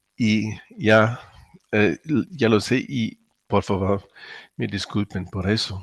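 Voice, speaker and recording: Pausing long and often, a man speaks at a very slow pace with a fairly low pitch. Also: ordinary pitch variation. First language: German (speaking Spanish). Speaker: cardiologist, lecturer. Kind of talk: webinar lecture. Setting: online webinar.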